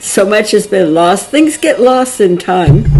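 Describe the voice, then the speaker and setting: A woman at a fairly slow pace with lively intonation, over noticeable background noise. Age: 80s. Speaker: writer and religious devotee. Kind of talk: casual talk to camera about her book.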